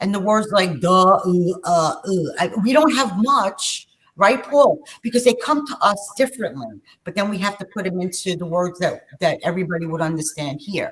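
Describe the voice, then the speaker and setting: At a moderate pace, a woman of medium pitch speaks with very wide pitch swings. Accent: New York. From New York. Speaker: spiritual channel host. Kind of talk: casual chat.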